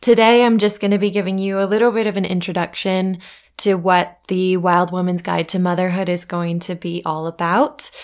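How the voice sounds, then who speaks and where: A woman with an American accent and a medium pitch speaks at a moderate pace with fairly even intonation, recorded very cleanly against a silent background. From USA. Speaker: podcast host, doula and birth photographer. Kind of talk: solo podcast introduction.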